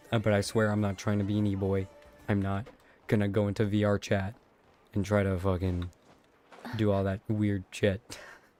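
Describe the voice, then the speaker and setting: Over music in the background, a man with a fairly low pitch speaks in a flat monotone, leaving long, frequent pauses. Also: moderate pace. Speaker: streamer. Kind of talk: casual chat. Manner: low energy, subdued.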